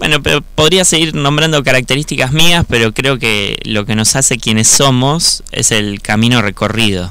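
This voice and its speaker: A man speaks with lively intonation at a moderate pace while noticeable background noise carries on. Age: 30s. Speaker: electronics engineer and secondary school teacher. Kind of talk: personal testimony.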